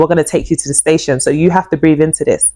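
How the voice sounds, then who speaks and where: A dark, mellow tone carried in a London accent. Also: woman. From East London, England. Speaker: YouTuber telling life story. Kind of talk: personal testimony. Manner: animated, repetitive storytelling.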